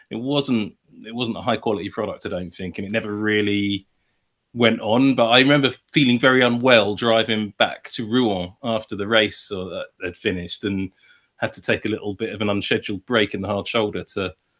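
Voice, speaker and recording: A man with a southern English accent, fairly low in pitch, at a fairly quick pace with fairly even intonation, over a quiet background. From England, south London. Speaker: motorsport commentator. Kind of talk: casual chat.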